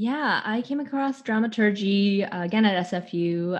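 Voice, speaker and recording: This is a normal speaking voice in a Canadian accent. The intonation is lively and the background quiet. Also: woman. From Vancouver, Canada. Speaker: theater artist. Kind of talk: interview.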